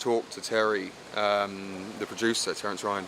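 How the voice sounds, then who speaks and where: A man with an English accent speaks at a fairly slow pace. Noticeable background noise is present. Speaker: film director. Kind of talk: interview. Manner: hesitant, many fillers.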